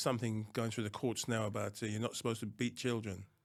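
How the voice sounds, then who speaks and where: On a very clean recording with a silent background, a man speaks at medium pitch in a monotone with flat intonation. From Anguilla, West Indies, then London from age ten. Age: 70s. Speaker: retired police officer. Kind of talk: interview. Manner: hesitant, with frequent fillers.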